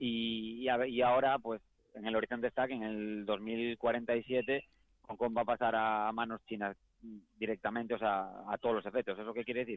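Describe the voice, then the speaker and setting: With a Galician accent, a man speaks at a medium pitch and moderate pace in a monotone, flat intonation. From Galicia, Spain. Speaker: professional footballer. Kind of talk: interview.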